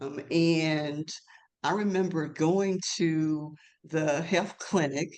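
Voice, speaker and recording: In a Mississippi accent, the speaker goes at a very slow pace. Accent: Southern US (Mississippi). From US South, North Mississippi. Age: 70s. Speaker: LGBTQ elder advocate. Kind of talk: webinar panel discussion.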